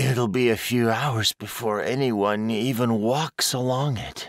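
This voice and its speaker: A man puts on a character voice at a medium pitch, speaking at a fairly slow pace with fairly even intonation. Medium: read story. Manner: inner thoughts, anxious.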